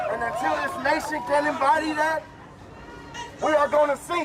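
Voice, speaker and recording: The speech has long, frequent pauses. Crowd noise fills the background. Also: man. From US South, Louisville, Kentucky. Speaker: pro football player speaking at protest. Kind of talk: protest speech. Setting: outdoors at street protest. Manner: loud; animated.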